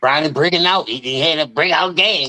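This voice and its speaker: A man talks at a moderate pace in a bright, sharp tone with ordinary pitch variation, his sound dry and close without echo. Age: 40s. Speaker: sports debate co-panelist. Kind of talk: heated debate. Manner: animated, profane.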